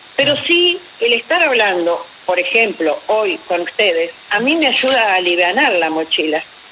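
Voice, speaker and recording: Over noticeable background noise, the speaker talks at a moderate pace with very wide pitch swings. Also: woman, very even loudness. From Argentina, Paraná. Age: 60s. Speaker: retired military nurse and war veteran. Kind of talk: interview on radio.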